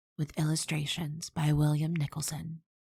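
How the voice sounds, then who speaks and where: A woman at a moderate pace, with a very deep, low pitch, a soothing tone and a somewhat breathy voice, in a dry, close sound with no echo. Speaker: audiobook narrator. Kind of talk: soothing ASMR audiobook narration of a children's story. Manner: soft, soothing, relaxing.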